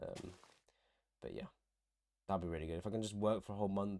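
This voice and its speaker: A man with a very deep, low pitch talks with an English accent on a very clean recording with a silent background. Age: 20s. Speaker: university student and streamer. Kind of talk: casual livestream chat. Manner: casual, hesitant with fillers.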